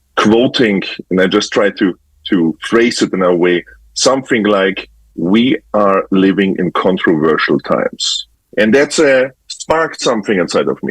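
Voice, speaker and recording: Dry and close with no echo, a man speaks at a fairly slow pace in a German accent. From Germany. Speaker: photographer. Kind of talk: interview. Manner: halting.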